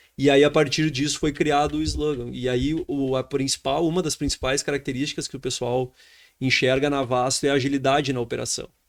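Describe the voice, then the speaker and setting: A man with a fairly high pitch speaks at a fairly quick pace in a monotone, flat way. The recording is very clean, with a silent background. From Brazil, Rio Grande do Sul. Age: 30s. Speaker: grain trading entrepreneur. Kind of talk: podcast interview.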